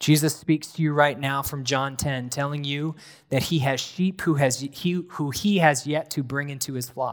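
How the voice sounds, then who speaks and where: An unremarkable speaking voice with an American accent moves at a moderate pace with fairly even intonation, captured in a very clean recording with a silent background. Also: man, fairly high pitch for a man. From US Northeast, rural New Hampshire. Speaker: pastor in training. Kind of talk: sermon. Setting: church.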